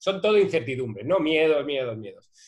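A man's fairly high voice, an ordinary speaking voice with lively intonation. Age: 40s. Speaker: advertising strategist, agency founder. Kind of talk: casual interview conversation.

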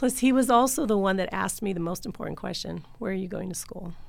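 A woman with a medium-pitched voice and vocal fry speaks with ordinary pitch variation on a very clean recording with a silent background. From New Mexico, Albuquerque South Valley. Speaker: school board president. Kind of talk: interview.

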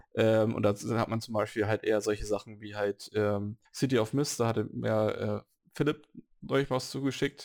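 An ordinary speaking voice from a man, fairly low in pitch, at a moderate pace with big swings in loudness. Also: fairly even intonation. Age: 30s. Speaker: podcast host, role-playing gamer. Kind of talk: casual chat.

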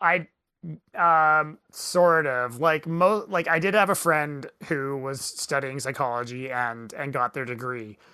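On a very clean recording with a silent background, the words unfold at a fairly slow pace. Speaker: podcast host. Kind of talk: casual chat.

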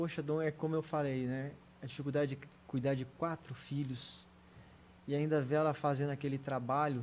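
Heard on a very clean recording with a silent background, a plain, everyday voice keeps a moderate pace and fairly even intonation. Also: man. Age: 40s. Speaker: physiotherapist and deputy mayor. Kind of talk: casual interview chat.

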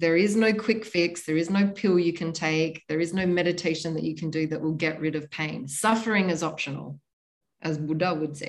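A woman speaks at a moderate pace in a normal speaking voice. Her pitch is fairly low and her intonation fairly even. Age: 40s. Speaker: tantra teacher. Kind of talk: interview.

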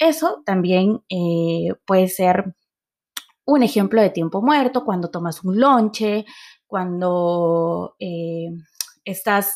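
A woman's very slow delivery at a medium pitch, with lively intonation. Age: 30s. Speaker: podcast host, marketer and entrepreneur. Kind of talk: solo podcast monologue.

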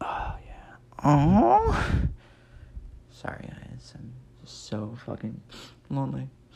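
Speaking very slowly in an American accent, a man leaves long, frequent pauses, his loudness swinging widely, and room echo is audible. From Nebraska. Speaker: comedy podcaster. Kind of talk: casual comedic monologue. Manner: rambling with frequent fillers.

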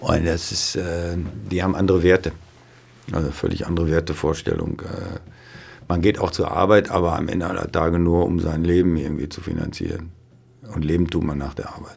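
A man speaks at a fairly quick pace in a very deep, low voice. His intonation is monotone and flat, broken by long, frequent pauses. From Westphalia, near Dortmund (Ruhr edge). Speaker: neurologist, chief physician. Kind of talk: casual interview.

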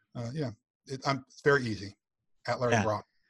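The voice is somewhat breathy, with an American accent. The recording is very clean and silent in the background, with a dry, close sound and no echo. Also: man. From US Northeast (Western New York, rural). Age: 50s. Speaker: entrepreneur, speaker and author; military veteran. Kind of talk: interview, casual chat.

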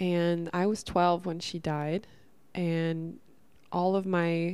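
The recording is very clean, with a silent background, and features a woman with a fairly low pitch. Her tone is dark and mellow, and her intonation is flat and monotone. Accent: American. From Northern California. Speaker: podcast host. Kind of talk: casual monologue. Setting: at home.

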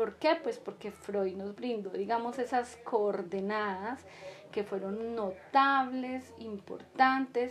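Speaking very slowly amid noticeable background noise, a woman uses a fairly high pitch with ordinary pitch variation. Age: 50s. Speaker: podcast host, psychology educator. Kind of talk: casual monologue to listeners; solo podcast lecture on psychology. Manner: hesitant, many fillers.

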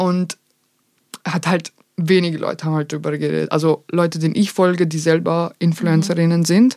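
Speaking at a fairly quick pace, a woman uses a monotone, flat intonation in a dark, mellow, fairly low-pitched voice. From Vienna, Austria. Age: 20s. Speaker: content creator. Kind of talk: casual chat.

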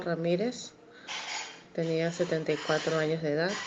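A woman speaking at a very slow pace. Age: 30s. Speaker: bereaved daughter. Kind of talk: testimony. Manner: halting.

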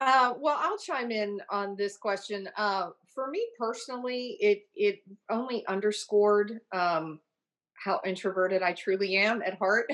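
A woman talks in an American accent at a medium pitch. Hers is a normal speaking voice with ordinary pitch variation. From Ohio. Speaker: private club membership director. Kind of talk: interview. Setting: video call.

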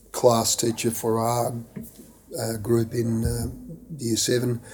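A man with a medium-pitched voice talks with an Australian accent. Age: 60s. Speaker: former student and school board member. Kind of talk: interview. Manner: halting with many fillers.

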